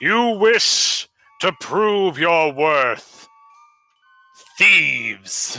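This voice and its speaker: A man uses a put-on character voice, high-pitched and very slow, with music in the background. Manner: challenging.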